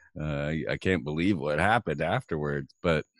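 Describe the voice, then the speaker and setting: An American man with a very deep, low pitch and vocal fry talks at a moderate pace, and the sound is dry and close with no echo. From Florida, Orlando. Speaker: radio host and documentary producer. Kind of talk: interview.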